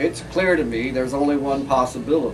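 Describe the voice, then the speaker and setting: A man speaks at a moderate pace in a fairly high pitch. Music plays in the background. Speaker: poet. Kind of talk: live comedic poetry reading.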